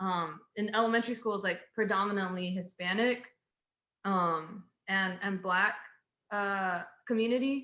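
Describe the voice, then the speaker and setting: A bright, sharp tone carries fairly even intonation, broken up by long, frequent pauses. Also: woman, medium pitch for a woman. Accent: American. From Houston, Texas. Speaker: civil engineer. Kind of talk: casual chat.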